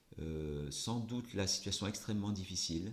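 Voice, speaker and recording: The man's very deep, low pitch moves in very wide pitch swings. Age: 60s. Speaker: politician. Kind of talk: interview. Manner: hesitant, many fillers.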